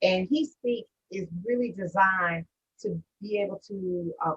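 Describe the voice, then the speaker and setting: A woman talks very slowly at a medium pitch, her tone bright and sharp, with ordinary pitch variation, in dry, close sound with no echo. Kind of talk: interviewer.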